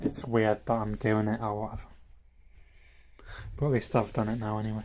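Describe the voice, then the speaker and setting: A man speaks at a fairly quick pace and a fairly low pitch. His intonation is monotone and flat. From northern England (Harrogate, Gateshead family). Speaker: streamer. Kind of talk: casual live stream chat. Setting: live stream. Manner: halting, many fillers.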